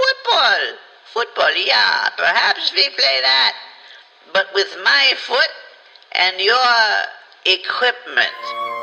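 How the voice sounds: Using a put-on character voice, a man projects and raises his voice. He talks at a very slow pace with long, frequent pauses.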